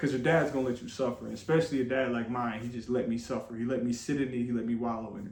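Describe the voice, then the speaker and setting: A man talks at a fairly quick pace with an American accent. Audible room echo surrounds his voice. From Flint, Michigan. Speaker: vlogger. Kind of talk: personal testimony. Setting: room with others listening.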